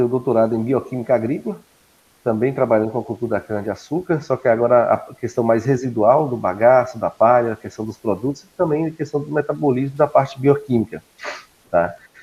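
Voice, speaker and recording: This man speaks at a fairly quick pace. His medium pitch has ordinary variation. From Brazil, Minas Gerais. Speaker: agronomist and university professor. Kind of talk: guest lecture.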